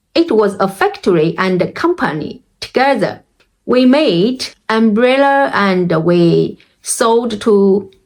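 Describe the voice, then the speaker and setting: A woman's fairly high voice in a Chinese accent, very slow in pace and lively in intonation. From China. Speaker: language learning vlogger. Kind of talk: personal experience talk. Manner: halting.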